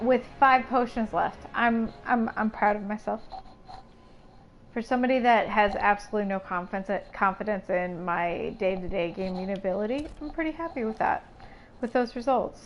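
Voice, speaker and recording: At a moderate pace, a woman speaks with ordinary pitch variation. Her pitch is fairly high. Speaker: video game streamer. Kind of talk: live game stream commentary.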